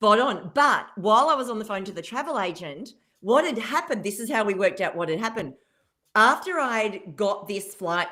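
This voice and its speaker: An animated woman's voice in an Australian accent, bright and sharp in tone, at a moderate pace. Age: 50s. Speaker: keynote speaker and business mentor. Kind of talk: radio interview, telling a story.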